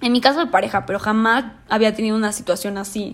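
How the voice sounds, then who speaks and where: This woman speaks at a medium pitch and a fairly quick pace. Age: 20s. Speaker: podcast host, interior architect. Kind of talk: solo monologue podcast. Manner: animated.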